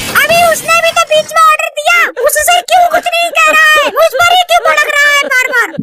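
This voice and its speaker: A woman performs a cartoonish character voice at an extremely high pitch, with very wide pitch swings and very even loudness. She talks at a fairly quick pace with hardly any pauses over light background noise. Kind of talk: comic overacting. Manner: shrill, scolding, combative.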